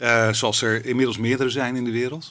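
The voice belongs to a man and has a bright, sharp tone. He moves along at a fairly quick pace. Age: 50s. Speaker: media executive and startup accelerator co-founder; interview guest. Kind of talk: interview. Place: studio. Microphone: studio mic.

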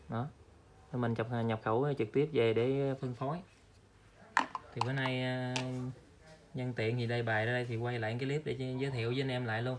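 A man's medium-pitched voice with little pitch movement, a fairly quick pace and long, frequent pauses

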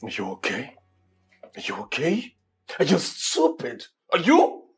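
A man puts on a raspy, high-pitched character voice and speaks at a moderate pace. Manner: harsh, angry, scolding.

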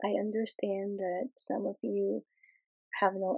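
The speech comes at a very slow pace, with a dry, close sound and no echo. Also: woman. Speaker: crafting YouTuber. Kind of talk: casual vlog address. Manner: hesitant, many fillers.

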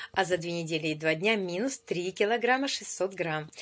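A woman talks very slowly. Her pitch varies in an ordinary way. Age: 50s. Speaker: weight-loss program participant. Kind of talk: video testimony. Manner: animated. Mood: cheerful, pleased. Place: home room. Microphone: phone near.

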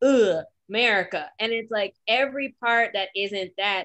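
The voice has a bright, sharp tone. The background is quiet. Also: woman. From Detroit, US Midwest. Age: 30s. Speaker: podcast co-host. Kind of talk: casual chat. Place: home room. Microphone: video call.

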